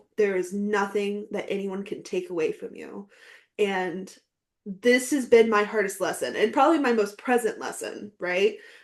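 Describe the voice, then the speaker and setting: A woman speaks in a normal speaking voice at a medium pitch and moderate pace. Her pitch variation is ordinary, with big swings in loudness. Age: 30s. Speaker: podcast guest, aspiring novelist. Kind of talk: casual interview chat.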